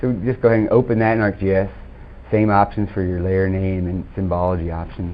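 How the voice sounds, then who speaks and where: Over noticeable background noise, a man talks with a very deep, low voice and fairly even intonation. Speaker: software trainer. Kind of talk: software demo workshop. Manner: fast.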